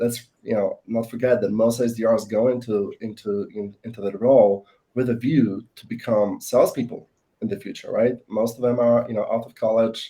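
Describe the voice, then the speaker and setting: With a non-native accent, a man speaks at medium pitch in a dark, mellow tone with monotone, flat intonation. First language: not English. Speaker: sales professional. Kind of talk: panel discussion. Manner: halting, many fillers.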